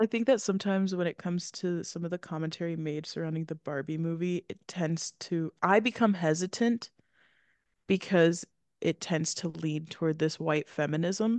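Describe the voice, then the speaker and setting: A woman with an American accent speaks at a moderate pace in a fairly low pitch with ordinary pitch variation. The sound is dry and close with no echo, and the background is quiet. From US Kentucky. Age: 20s. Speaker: film podcast co-host. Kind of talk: casual chat. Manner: animated, talkative, jokey.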